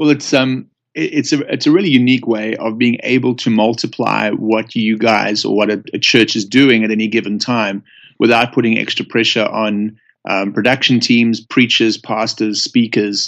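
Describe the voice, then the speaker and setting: Against a quiet background, a man with a South African accent speaks at medium pitch and a moderate pace, his intonation fairly even. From South Africa, Johannesburg. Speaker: church pastor. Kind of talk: casual interview. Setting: phone call.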